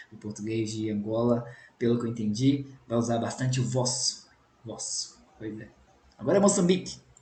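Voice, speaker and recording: The speech moves at a moderate pace, broken by long, frequent pauses, with ordinary pitch variation and big swings in loudness. Noticeable background noise and audible room echo fill the recording. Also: man, medium pitch for a man. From Brazil, Minas Gerais. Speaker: language teacher, YouTuber. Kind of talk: reaction video. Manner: casual, conversational.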